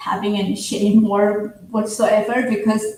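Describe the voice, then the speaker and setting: A woman speaks with a non-native accent. Her voice is somewhat breathy. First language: not English. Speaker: livestream guest. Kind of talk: casual chat.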